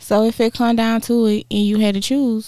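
This woman's voice has a dark, mellow tone. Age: 30s. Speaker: podcast co-host.

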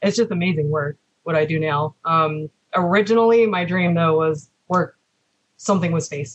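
In a dry, close sound with no echo, a woman speaks fairly slowly and somewhat breathily, her fairly low pitch moving with ordinary variation. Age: 30s. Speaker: engineering student and former retail manager. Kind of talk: interview.

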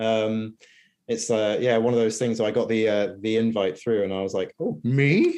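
A man with an East Anglian accent speaks in a dark, mellow tone, his intonation fairly even. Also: medium pitch for a man, moderate pace. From England, Norwich. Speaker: freelance copywriter. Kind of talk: interview. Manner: hesitant, many fillers.

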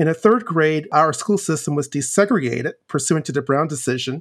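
In a very clean recording with a silent background, a man with an American accent and an unremarkable speaking voice talks at a fairly high pitch with lively intonation. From US South, Virginia (Chester, south of Richmond). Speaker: author and former law professor. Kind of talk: interview.

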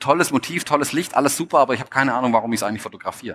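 The man's voice has a bright, sharp tone at medium pitch. He speaks with a slight Swabian accent. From Stuttgart, Swabia, Germany. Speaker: photographer and speaker. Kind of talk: stage talk. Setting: stage with audience.

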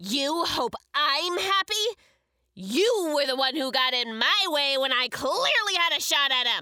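In a put-on character voice, a woman talks at a fairly slow pace with a high pitch, very wide pitch swings and very even loudness. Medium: audio drama. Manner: brash, impatient, gleefully murderous.

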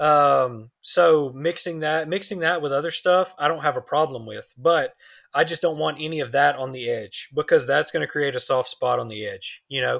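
In an ordinary speaking voice, a man with a fairly high pitch and ordinary pitch variation talks at a moderate pace with hardly any pauses, on a very clean recording with a silent background. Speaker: knifemaker. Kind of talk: casual chat.

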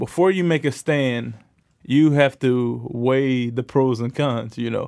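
Recorded very cleanly with a silent background, a man with an American accent uses a normal speaking voice at a medium pitch and a fairly slow pace. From New York. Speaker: professional football player. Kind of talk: interview.

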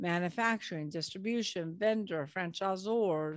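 This is an unremarkable speaking voice with an American accent and lively intonation. It moves at a moderate pace over a quiet background. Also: woman. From California. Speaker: business broker and author. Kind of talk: interview.

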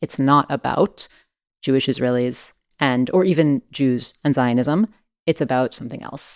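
In a very clean recording with a silent background and a dry, close sound with no echo, a woman talks at a moderate pace in a very deep, low pitch with ordinary pitch variation. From born in France, emigrated twice when very young. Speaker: podcast writer. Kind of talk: casual chat.

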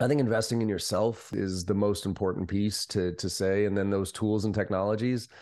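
A man with an unremarkable speaking voice talks at a moderate pace in a fairly low pitch against a quiet background. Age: 40s. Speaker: sales trainer and company CEO. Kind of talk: interview.

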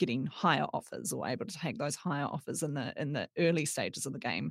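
With a New Zealand accent, a woman speaks at a fairly quick pace in a very deep, low voice with vocal fry, on a very clean recording with a silent background. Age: 30s. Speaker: data journalist. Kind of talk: casual chat.

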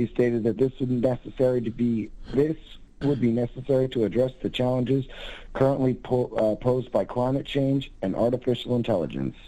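A man's dark, mellow voice at a fairly quick pace, with fairly even intonation and very even loudness, over a quiet background. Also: medium pitch for a man. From US Northeast, Berkshires. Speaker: caller. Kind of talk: casual chat.

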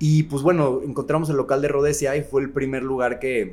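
Talking at a fairly quick pace, a man uses a normal speaking voice with a fairly high pitch. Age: 30s. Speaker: festival organizer and bar owner. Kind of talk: casual chat.

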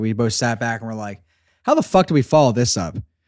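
A man with an American accent and an ordinary speaking voice talks at a medium pitch with ordinary pitch variation on a very clean recording with a silent background. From southeastern Pennsylvania. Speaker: audio drama creator. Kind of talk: casual chat.

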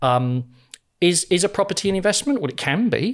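A man with a British accent talks at a fairly quick pace, his pitch swinging very widely. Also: very clean recording, silent background. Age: 50s. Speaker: financial wellbeing speaker and former financial advisor. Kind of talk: casual interview.

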